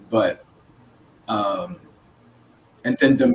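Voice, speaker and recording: Noticeable background noise surrounds a man talking at a very slow pace. His intonation is fairly even. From Philippines, raised in Oakland, California. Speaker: counselor and Navy veteran. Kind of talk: podcast interview.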